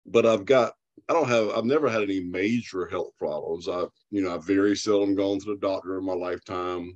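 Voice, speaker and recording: Against a quiet background, a man with a strong Southern US accent speaks at a moderate pace and a fairly low pitch. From US South, South Carolina. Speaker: customer giving testimonial. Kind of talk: interview testimony.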